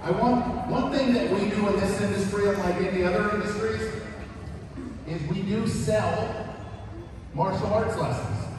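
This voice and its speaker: Noticeable background noise and strong room echo surround a man speaking at a moderate pace. His pitch is high, with ordinary pitch variation. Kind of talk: speech to an audience. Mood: warm, lightly humorous. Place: hall.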